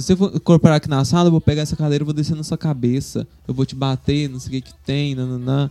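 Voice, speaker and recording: Over background music, a man talks at a very fast pace with hardly any pauses, in a fairly high pitch. His intonation is fairly even, and the sound is dry and close with no echo. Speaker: Umbanda priest. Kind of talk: casual interview.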